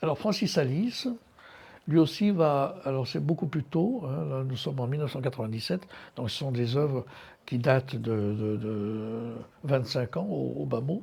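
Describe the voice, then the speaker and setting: Somewhat breathy and dark, mellow in tone, a man's medium-pitched voice moves at a fairly slow pace with lively intonation. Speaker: art curator giving a lecture. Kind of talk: lecture. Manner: halting, many hesitations.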